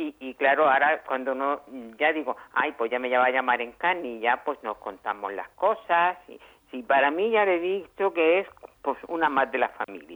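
At a moderate pace, a woman speaks in a very deep, low pitch with very wide pitch swings and big swings in loudness. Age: 80s+. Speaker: elderly service user. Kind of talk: phone interview.

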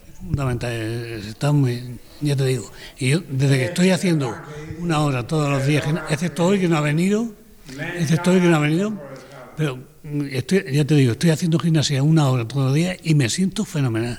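With noticeable background noise behind him, a man with a fairly high pitch talks at a fairly quick pace, using ordinary pitch variation and long, frequent pauses. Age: 70s. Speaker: care home resident. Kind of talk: casual chat. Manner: halting.

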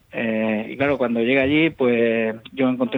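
At a fairly slow pace, the speaker uses an unremarkable speaking voice. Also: man. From Spain, Murcia region (Mula). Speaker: retiring police inspector. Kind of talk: radio interview.

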